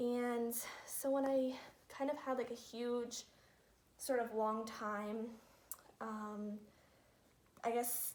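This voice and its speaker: In a room with audible echo, a woman speaks very slowly at a high pitch with monotone, flat intonation and long, frequent pauses. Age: 20s. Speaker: reborn doll collector vlogger. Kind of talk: casual vlog talk. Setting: living room at home.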